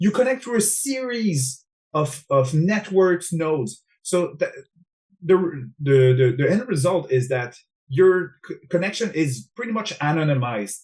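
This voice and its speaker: Speaking at a fairly slow pace with an French-Canadian accent, the voice swings very widely in pitch. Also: man, high pitch for a man. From Quebec, Montreal. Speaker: cybersecurity specialist. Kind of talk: interview.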